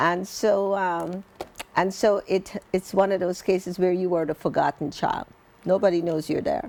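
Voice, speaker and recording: A woman with an ordinary speaking voice talks at a moderate pace and a medium pitch with fairly even intonation. The recording is very clean, with a silent background. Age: 60s. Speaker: author sharing life story. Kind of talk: interview testimony.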